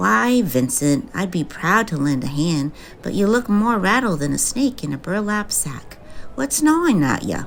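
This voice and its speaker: Drawling in a put-on character voice, a woman speaks at medium pitch and a moderate pace with very wide pitch swings over clear background noise. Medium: audio drama. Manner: folksy western drawl.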